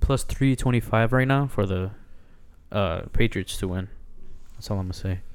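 This man's voice sits at a medium pitch with ordinary pitch variation. He leaves long, frequent pauses. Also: moderate pace. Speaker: sports podcast co-host. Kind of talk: casual chat.

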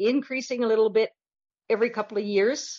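A woman speaks with a western Canadian accent. Her pitch is high, with ordinary variation. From Canada, northern Alberta. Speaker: romance novelist. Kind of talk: casual interview.

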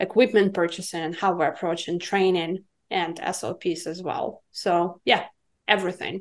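Monotone, flat delivery at a moderate pace against a quiet background. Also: woman. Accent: Russian. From Russia (Siberia). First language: Russian. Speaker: cannabis business consultant. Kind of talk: podcast interview.

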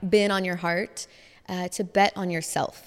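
A woman with an American accent and a plain, everyday voice talks at a moderate pace with ordinary pitch variation. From US Midwest, Chicago. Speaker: interviewer. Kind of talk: casual chat.

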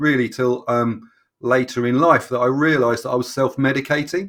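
The speaker has a London accent. The pace is moderate. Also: man. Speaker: fitness coach. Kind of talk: casual interview. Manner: halting.

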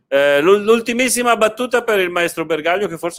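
A man talks at a fairly quick pace. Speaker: podcast host. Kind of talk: casual chat. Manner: talkative.

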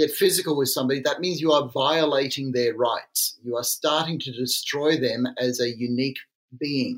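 A man talks at a moderate pace in an ordinary speaking voice, fairly high in pitch and with ordinary pitch variation. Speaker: psychiatrist and author. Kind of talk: casual interview conversation.

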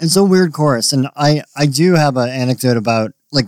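In a plain, everyday voice, a man talks at a moderate pace and medium pitch, with ordinary pitch variation and a dry, close sound with no echo. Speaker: drummer in band. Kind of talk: casual podcast chat.

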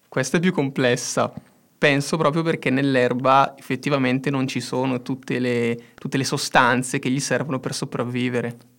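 A man at a moderate pace, medium pitch, monotone, flat intonation. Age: 20s. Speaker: engineering student, podcast co-host. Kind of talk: casual educational chat.

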